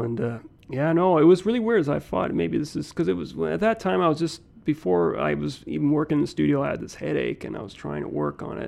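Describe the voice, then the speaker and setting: A man in a Canadian Prairies accent at a fairly quick pace. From Saskatoon, Canada. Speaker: painter. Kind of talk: interview.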